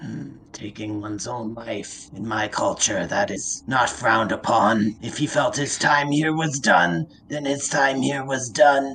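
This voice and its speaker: Using a raspy, put-on character voice, a man talks with hardly any pauses. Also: medium pitch for a man, fairly slow pace. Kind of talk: fantasy tabletop roleplay. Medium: actual play. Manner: formal, archaic.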